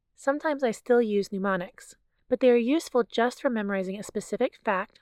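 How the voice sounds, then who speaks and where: A woman with a normal speaking voice talks at a fairly quick pace with ordinary pitch variation, recorded with a dry, close sound and no echo. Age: 40s. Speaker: family physician and podcast host. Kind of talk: scripted educational monologue.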